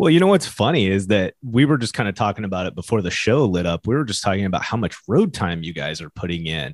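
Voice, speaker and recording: A man rushes along at a very fast pace with hardly any pauses and lively intonation. The background is quiet. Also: fairly low pitch for a man. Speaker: podcast co-host, business owner. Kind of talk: casual chat.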